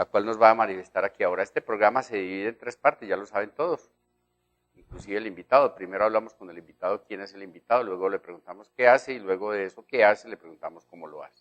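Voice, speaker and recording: A man with a fairly low pitch races along very fast, his loudness swinging widely while his pitch varies an ordinary amount. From Colombia, Quindío. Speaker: TV interviewer. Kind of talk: TV interview. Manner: formal.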